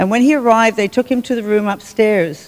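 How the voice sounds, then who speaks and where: A woman with an unremarkable speaking voice at a fairly high pitch. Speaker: scripture reader. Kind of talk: reading aloud. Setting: church. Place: church. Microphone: podium.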